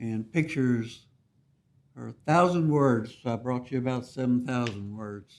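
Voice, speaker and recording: A man with an unremarkable speaking voice talks at a moderate pace and medium pitch, with big swings in loudness. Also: ordinary pitch variation. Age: 60s. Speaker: neighbor opposing application. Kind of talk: public hearing testimony.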